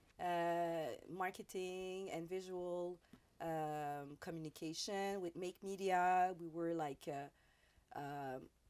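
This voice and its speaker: Speaking very slowly with a Quebec accent, a woman uses a fairly low pitch. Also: fairly even intonation. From Quebec, Montreal South Shore. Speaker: radio host. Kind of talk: interview. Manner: halting.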